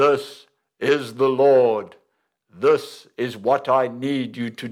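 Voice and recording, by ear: A man does a put-on character voice, loud and booming at a medium pitch. He speaks at a very slow pace on a very clean recording with a silent background.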